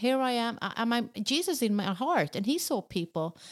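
A woman's voice with ordinary pitch variation, in a very clean recording with a silent background and a dry, close sound free of echo. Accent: Swedish. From southern Sweden. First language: Swedish. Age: 50s. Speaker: pastor. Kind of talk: interview.

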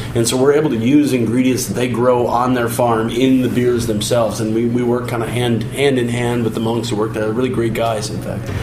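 Noticeable background noise sits behind a man of medium pitch. He talks fairly quickly in a flat monotone, with hardly any pauses. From Chicago. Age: 30s. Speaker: brewery staff. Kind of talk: radio interview.

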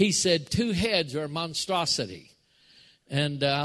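A man's plain, everyday voice, fairly high in pitch with ordinary pitch variation, against a quiet background. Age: 60s. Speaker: pastor. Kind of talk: sermon. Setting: church.

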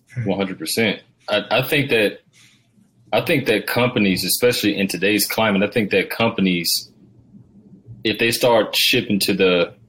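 An unremarkable speaking voice belongs to a man with an American accent, a fairly low pitch and ordinary pitch variation. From US South, Georgia. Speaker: podcast host. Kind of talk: podcast interview.

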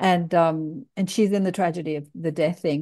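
A woman with an Australian accent speaks at a moderate pace in a dark, mellow tone against a quiet background. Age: 60s. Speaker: podcast host. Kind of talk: casual interview chat.

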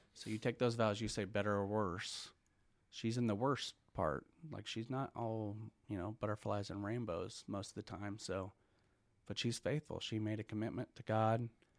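A man with an American accent at a moderate pace, fairly even in intonation, on a very clean recording with a silent background. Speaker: church small group leader. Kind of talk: testimony.

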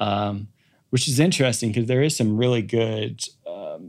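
A man with an American accent has a normal speaking voice, fairly low in pitch. He talks at a moderate pace on a very clean recording with a silent background. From US Midwest, Kansas City. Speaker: athletic trainer and performance coach. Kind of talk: casual interview chat.

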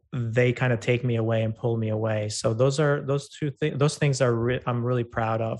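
A man with an Albanian accent speaks at a moderate pace and a medium pitch. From Albania, rural farm town. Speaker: ed tech founder and CEO. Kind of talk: interview. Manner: halting, many fillers.

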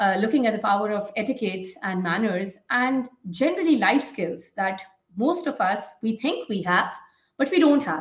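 With a somewhat breathy voice, a woman talks at a moderate pace at a fairly high pitch, her pitch swinging very widely. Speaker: medical educator. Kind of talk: interview. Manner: halting, many fillers.

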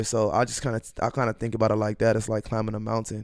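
On a very clean recording with a silent background, a man rattles along at a very fast pace. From US Midwest, North Minneapolis. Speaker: rapper, former basketball player. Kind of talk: casual interview.

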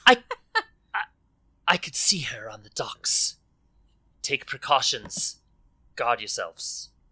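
Using a put-on character voice, a man speaks at a very slow pace in an extremely high pitch.

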